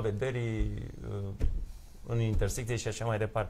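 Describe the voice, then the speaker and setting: A man's somewhat breathy voice at a fairly slow pace with ordinary pitch variation and light background noise. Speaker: lawyer. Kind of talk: live TV studio debate. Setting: TV studio. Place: studio.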